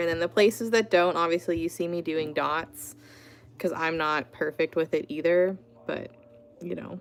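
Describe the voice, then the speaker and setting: A woman with a normal speaking voice, pitched fairly low. Her pitch moves up and down an ordinary amount. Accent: American. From Pittsburgh, Pennsylvania, US. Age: 30s. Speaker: artist. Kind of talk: live stream art tutorial and chat. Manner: casual, chatty with many fillers.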